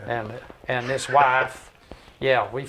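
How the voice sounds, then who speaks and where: Background noise is clearly noticeable. Through it, a man talks at a medium pitch. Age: 80s+. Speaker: retired doctor and army veteran. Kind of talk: casual interview chat. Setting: studio. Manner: halting.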